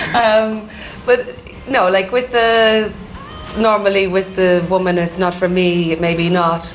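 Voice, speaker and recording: With an Irish accent, a woman talks at a very slow pace and a medium pitch, with fairly even intonation, very even loudness and long, frequent pauses, amid noticeable background noise and audible room echo. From Ireland. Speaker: drift racing driver. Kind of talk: interview.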